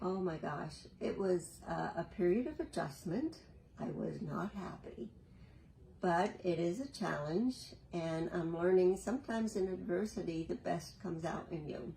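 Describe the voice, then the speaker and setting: This woman talks at a moderate pace with a fairly low pitch and ordinary pitch variation. Vocal fry creeps into her voice. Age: 70s. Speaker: senior interviewee. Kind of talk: interview answer.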